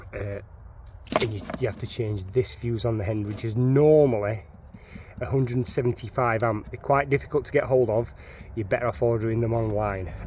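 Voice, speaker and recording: The speaker has a strong Sheffield accent and ordinary pitch variation. The pace is fairly quick. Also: man, medium pitch for a man. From northern England, Sheffield. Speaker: DIY car enthusiast. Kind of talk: tutorial. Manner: halting.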